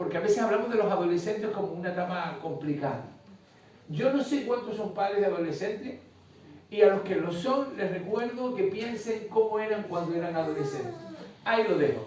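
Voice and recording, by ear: Strong room echo carries a man's high-pitched voice in a Canarian accent, spoken at a moderate pace with lively intonation and a slightly mellow tone.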